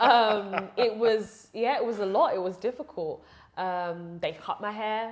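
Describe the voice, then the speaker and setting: Speaking at a fairly slow pace in a London accent, a woman with a fairly high pitch shows ordinary pitch variation. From London, England (early childhood partly Uganda). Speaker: preacher and educator. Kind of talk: interview conversation. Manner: hesitant, many fillers.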